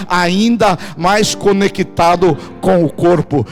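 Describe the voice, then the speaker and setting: A man speaks against noticeable background noise. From Brazil. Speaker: pastor. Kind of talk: sermon. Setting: church with congregation. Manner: animated.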